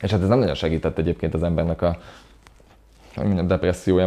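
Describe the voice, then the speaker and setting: With a very deep, low pitch and a dark, mellow tone, a man talks at a very fast pace. His intonation stays fairly even. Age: 30s. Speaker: DJ, producer and music journalist. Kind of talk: interview. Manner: halting, many repeated words.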